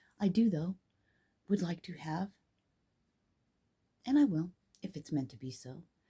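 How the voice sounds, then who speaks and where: A somewhat breathy woman's voice, fairly low-pitched, dark and mellow, with very wide pitch swings, big swings in loudness, a moderate pace and long, frequent pauses. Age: 50s. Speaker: spiritual vlogger. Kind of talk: casual monologue.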